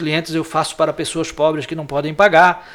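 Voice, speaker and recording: Noticeable background noise sits behind a man speaking in a fairly high pitch. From Santa Catarina, Brazil (Antônio Carlos, Greater Florianópolis). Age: 60s. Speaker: lawyer and former city councillor. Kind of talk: interview.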